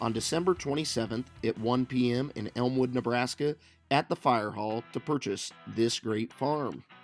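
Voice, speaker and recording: A man's medium-pitched voice with ordinary pitch variation at a moderate pace, with music in the background. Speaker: real estate auction promo narrator. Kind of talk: real estate listing promo narration.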